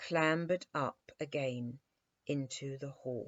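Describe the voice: Her pitch varies in an ordinary way as the woman speaks. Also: dry, close sound with no echo.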